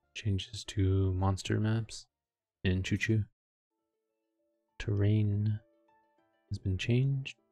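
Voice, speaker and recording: A man mumbles at a very slow pace in a fairly low, flat monotone, with long, frequent pauses. Music plays in the background. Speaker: game streamer. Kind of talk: casual patch notes commentary. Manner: mumbling.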